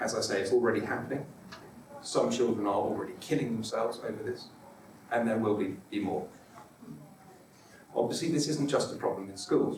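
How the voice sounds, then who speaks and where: A man talks at a fairly quick pace, broken by long, frequent pauses. Noticeable background noise and audible room echo surround his voice. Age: 40s. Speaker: author. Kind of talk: conference talk. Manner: halting, repeats syllables.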